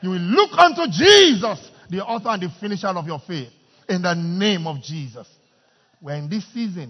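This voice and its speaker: The speaker has a Nigerian accent and lively intonation at a moderate pace. Loudness swings widely. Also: man, high pitch for a man. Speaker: pastor. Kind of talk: fervent intercessory prayer led before a congregation, sermon style. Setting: church. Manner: loud, urgent, impassioned, repetitive pleading that calls the crowd to join in.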